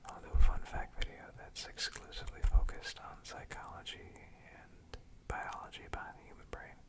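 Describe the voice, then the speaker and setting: A man whispers in a calm, soothing tone at a moderate pace. Noticeable background noise runs underneath. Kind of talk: ASMR fun facts reading. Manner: whispered; soft-spoken, calm, soothing.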